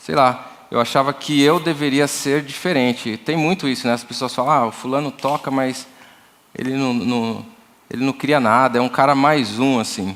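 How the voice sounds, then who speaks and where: A man talks with fairly even intonation. His pitch sits in the medium range. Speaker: church music workshop leader, drummer. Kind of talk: workshop talk. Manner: slow; halting, repeats words.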